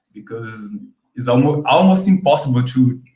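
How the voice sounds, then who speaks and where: Somewhat breathy, a man with a Brazilian Portuguese accent speaks at medium pitch with ordinary pitch variation. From Brazil, Sao Paulo. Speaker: subscriber guest. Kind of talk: casual chat. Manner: halting.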